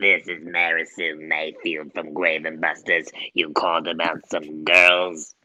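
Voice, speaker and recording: In a put-on character voice, a man talks at a fairly slow pace, very deep and raspy, with monotone, flat intonation. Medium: actual play. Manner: sassy, flirtatious.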